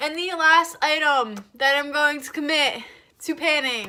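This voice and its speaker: In a raised, projected voice with a bright, sharp tone, a woman with an American accent speaks high and at a fairly slow pace. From New Jersey. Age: young. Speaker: beauty vlogger. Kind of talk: casual talk to camera.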